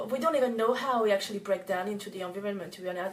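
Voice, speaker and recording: This woman speaks with a French accent. Her pitch sits at a medium level, with ordinary variation. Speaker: organic cosmetics business owner. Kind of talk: tutorial. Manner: halting, many fillers and restarts.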